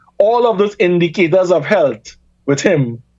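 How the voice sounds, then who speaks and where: In a Trinidadian accent, a man speaks at a high pitch with lively intonation. His pace is moderate. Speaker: reparations campaigner and academic. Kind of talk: radio talk show interview.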